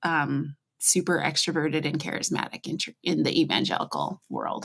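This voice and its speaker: A woman with an American accent speaks at a moderate pace in a very deep, low voice with vocal fry. Her intonation is monotone and flat, and the sound is dry and close with no echo. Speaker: former church worship ministry worker. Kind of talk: podcast interview. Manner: casual, many fillers.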